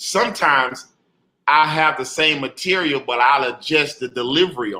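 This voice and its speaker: A plain, everyday voice from a man with an American accent, fairly high in pitch, with lively intonation, big swings in loudness, and a moderate pace. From Jacksonville, Florida, US South. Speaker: comedian. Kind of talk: interview. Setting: video call.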